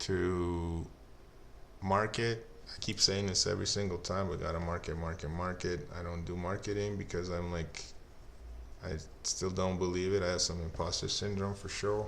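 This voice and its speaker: In a Lithuanian accent, a man speaks with a very deep, low pitch and monotone, flat intonation, with audible room echo around him. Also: moderate pace. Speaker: indie game developer. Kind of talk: solo development update video. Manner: hesitant, many fillers.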